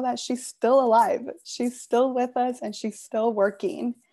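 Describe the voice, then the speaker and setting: A dark, mellow voice speaks at a fairly slow pace against a quiet background. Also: woman. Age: 20s. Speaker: executive assistant, recent graduate. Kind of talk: presentation. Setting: video call.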